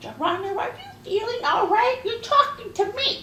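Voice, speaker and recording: A woman puts on a squeaky character voice at an extremely high pitch. A slight echo and light background noise are audible. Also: moderate pace, ordinary pitch variation. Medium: comedy sketch.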